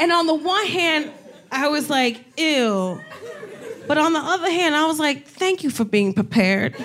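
Over noticeable background noise, a woman speaks at a high pitch with very wide pitch swings and very even loudness. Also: moderate pace. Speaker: comedian talk show host. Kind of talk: live comedy talk show, banter and interview. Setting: stage with audience. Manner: animated, joking.

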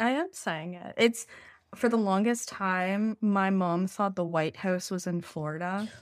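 Fairly slow delivery in an ordinary speaking voice, pitch varying in an ordinary way. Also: woman, medium pitch for a woman, very clean recording, silent background. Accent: Canadian. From Canada. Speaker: podcast host. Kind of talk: casual chat.

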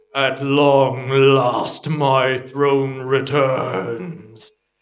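A man puts on a character voice at a medium pitch. It comes out rumbling and resonant. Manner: echoing, resonant.

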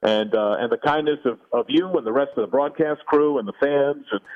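A plain, everyday voice from a man with an American accent, fairly high in pitch, fairly quick and lively in intonation. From New Jersey. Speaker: TV play-by-play announcer. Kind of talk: interview. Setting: at home, remote.

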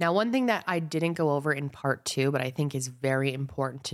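A woman's very deep, low pitch with ordinary pitch variation. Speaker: podcast host. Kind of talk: scripted-style narration of a true crime case. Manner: casual, friendly, conversational.

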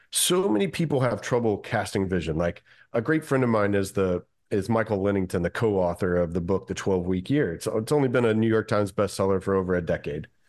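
A man with an American accent speaks in a plain, everyday voice at a fairly quick pace. His intonation is lively, and the background is quiet. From Kentucky, US South. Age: 40s. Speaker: wealth strategist, former pilot. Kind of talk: interview.

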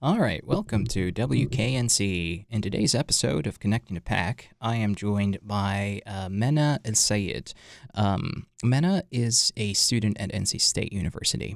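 A man with a plain, everyday voice talks at a moderate pace with hardly any pauses. His fairly low pitch carries lively intonation. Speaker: podcast host. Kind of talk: casual interview.

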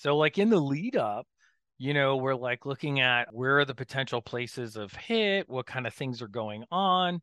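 Using an ordinary speaking voice, a man with an American accent talks at medium pitch and a moderate pace with lively intonation. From Florida. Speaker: veterinarian and professor. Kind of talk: interview.

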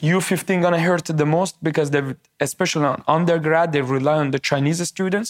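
With a Persian accent, a man speaks at a fairly quick pace in a fairly high voice. His intonation is monotone and flat, and the sound is dry and close with no echo. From Iran. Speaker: tech entrepreneur. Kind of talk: interview.

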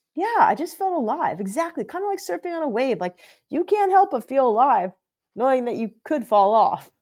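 Her voice is high for a woman, with very wide pitch swings at a fairly quick pace. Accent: Californian. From US West Coast, San Diego. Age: 40s. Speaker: podcast host and author. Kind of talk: casual interview chat.

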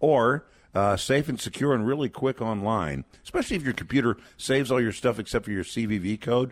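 The clip has a normal speaking voice. Its pace is fairly quick. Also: man, medium pitch for a man, ordinary pitch variation. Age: 60s. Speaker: pro-life ministry advocate. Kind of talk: radio fundraising interview.

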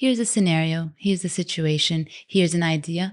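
Against a quiet background, a woman with a plain, everyday voice speaks at a fairly low pitch and a moderate pace with fairly even intonation. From Canada, Vancouver. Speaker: food blogger and cookbook author. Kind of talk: interview conversation.

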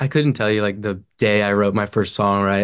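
This is an unremarkable speaking voice with an American accent. The background is quiet. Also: man. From Franklin, Tennessee (US South). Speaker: singer-songwriter. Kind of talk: casual interview. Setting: video call.

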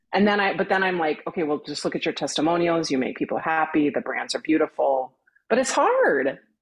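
With lively intonation, a woman talks at a fairly quick pace. She has an unremarkable speaking voice and a fairly low pitch. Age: 50s. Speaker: brand strategist. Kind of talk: casual chat.

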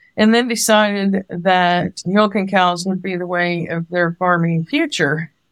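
At a fairly slow pace with hardly any pauses, a woman with an unremarkable speaking voice talks at medium pitch and fairly even intonation. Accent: American. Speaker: farmer. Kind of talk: casual chat.

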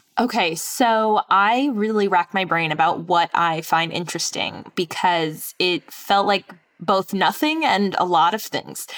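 A woman with a plain, everyday voice speaks with an American accent at medium pitch and ordinary pitch variation. Her pace is fairly slow with hardly any pauses, and the sound is dry and close with no echo. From New York. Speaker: podcast writer and host, houseplant enthusiast. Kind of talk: casual conversation on a game show.

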